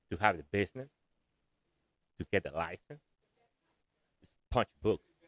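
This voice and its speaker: A man's voice with ordinary pitch variation, dry and close with no echo. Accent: Spanish. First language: Spanish. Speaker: air conditioning contractor. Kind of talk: interview. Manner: halting.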